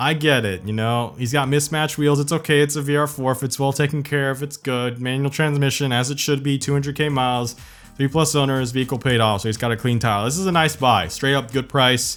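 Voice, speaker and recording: With music in the background, a man speaks at a fairly high pitch with fairly even intonation and hardly any pauses. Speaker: car commentary YouTuber. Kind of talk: casual commentary over screen listings.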